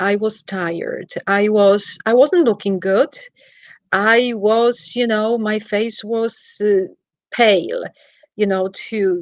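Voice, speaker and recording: With a Polish accent, a woman talks at a fairly high pitch with ordinary pitch variation. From Poland. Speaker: travel executive and wellness practitioner. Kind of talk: interview. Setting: livestream. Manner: animated.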